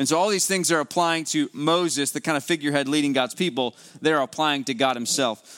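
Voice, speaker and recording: Speaking with a West Virginia accent, a man uses a fairly high pitch with ordinary pitch variation at a fairly quick pace, in a dry, close sound with no echo. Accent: West Virginian Appalachian. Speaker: preacher. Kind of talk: sermon. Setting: church with congregation.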